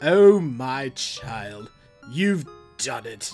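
In a put-on character voice at a low-to-middle pitch, the speaker performs over faint music in the background. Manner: warm, pleased.

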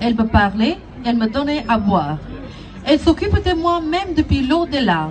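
A high-pitched woman at a moderate pace, with faint music in the background. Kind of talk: prepared public testimony.

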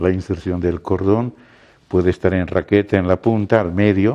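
A man talks at a fairly slow pace and a fairly low pitch, his intonation fairly even and his tone dark and mellow. The background is quiet. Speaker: medical instructor. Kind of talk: lecture. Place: classroom. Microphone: lapel.

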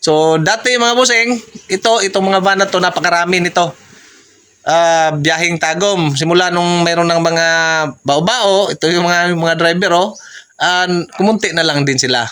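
Bright and sharp in tone, a man with a Visayan accent speaks at a high pitch with very even loudness. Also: ordinary pitch variation, moderate pace. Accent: Visayan-accented Tagalog. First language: Cebuano (Bisaya) (speaking Tagalog). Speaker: vlogger. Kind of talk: casual vlog narration. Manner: halting, many fillers.

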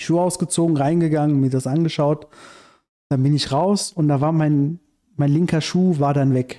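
Against a quiet background, a man with a dark, mellow tone and fairly high pitch talks at a moderate pace, his intonation fairly even and his loudness very even. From Iran, raised in Germany from childhood. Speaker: screenwriter and activist; podcast guest. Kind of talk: casual interview conversation. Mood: calm narrating a dream. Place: home room. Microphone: studio mic.

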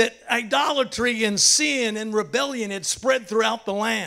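Against a quiet background, a man uses a raised, projected voice at a moderate pace with ordinary pitch variation. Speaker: pastor. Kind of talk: sermon. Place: church. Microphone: handheld.

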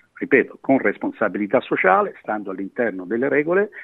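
A man talks at a fairly quick pace. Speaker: sports association president. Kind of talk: interview.

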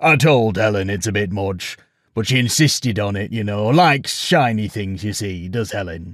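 A man puts on a gravelly character voice, fairly low in pitch. He speaks at a moderate pace.

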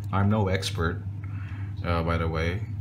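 The pace is fairly slow. Noticeable background noise can be heard. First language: non-native English speaker. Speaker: phone reviewer. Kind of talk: casual talk to camera. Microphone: phone near.

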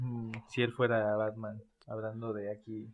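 The delivery is fairly slow, with monotone, flat intonation. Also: man, fairly low pitch for a man.

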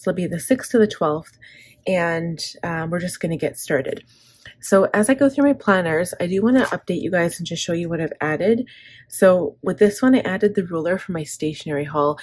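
Somewhat breathy and fairly low-pitched, a woman speaks at a fairly quick pace with lively intonation. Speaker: planner vlogger. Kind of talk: casual vlog chat.

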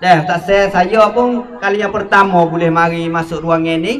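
A man's fairly even intonation holds at a moderate pace above light background noise. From Thailand. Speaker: moderator. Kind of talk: moderated discussion. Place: hall. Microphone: handheld.

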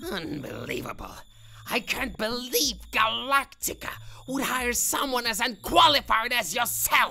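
A female-sounding, cartoonish character voice pitched high for a woman plays over light background noise. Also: moderate pace. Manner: angry, ranting, defensive.

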